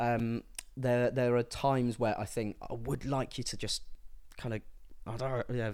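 His voice is a plain, everyday voice, pitched in the middle range for a man. Speaking at a moderate speed, he keeps his intonation fairly even. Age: 20s. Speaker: music writer. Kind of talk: casual chat.

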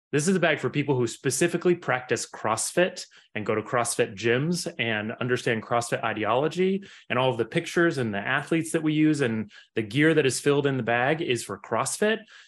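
A normal speaking voice with lively intonation at a fairly quick pace, over a quiet background. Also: man, medium pitch for a man. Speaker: entrepreneur, sports bag maker. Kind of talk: podcast interview.

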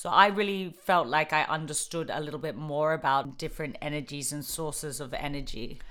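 Hardly pausing, a woman talks at a fairly quick pace in a very deep, low pitch with a bright, sharp tone and ordinary pitch variation. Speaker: podcast co-host. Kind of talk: casual chat.

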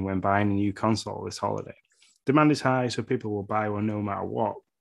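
The speaker has an English accent and talks at a fairly quick pace over a quiet background. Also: man. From England. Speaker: podcast co-host. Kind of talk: casual chat.

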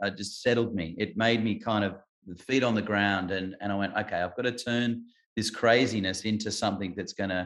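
Against a quiet background, a man with an Australian accent speaks at a moderate pace in a fairly low voice with fairly even intonation. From Adelaide, South Australia. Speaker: singer-songwriter. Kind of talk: casual interview chat. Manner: halting.

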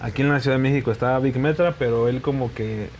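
A plain, everyday voice speaks at a fairly quick pace. Its intonation stays fairly even. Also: man. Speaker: reggaeton musician. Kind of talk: interview.

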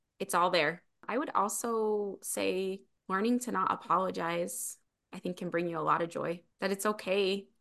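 With an American accent, a woman speaks in a plain, everyday voice at a moderate pace, with medium pitch and ordinary pitch variation. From Utah. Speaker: keynote speaker and author. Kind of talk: interview.

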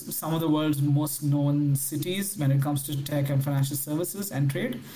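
Fairly even intonation from a male speaker, noticeable background noise behind him. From India. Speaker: fintech entrepreneur. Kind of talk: interview.

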